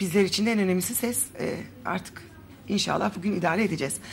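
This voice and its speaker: A woman's very fast speech at medium pitch with very wide pitch swings, noticeable background noise behind. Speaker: TV host. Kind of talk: TV health interview.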